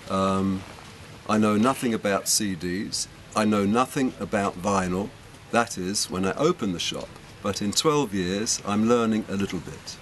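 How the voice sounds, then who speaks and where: There is noticeable background noise as a man speaks at a fairly slow pace. His voice is fairly low, with ordinary pitch variation. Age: 70s. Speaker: record shop owner. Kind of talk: interview.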